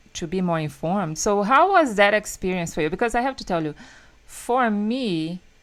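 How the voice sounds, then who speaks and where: On a very clean recording with a silent background, a woman with a Brazilian Portuguese accent speaks at a moderate pace with lively intonation. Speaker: podcast host. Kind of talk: casual interview.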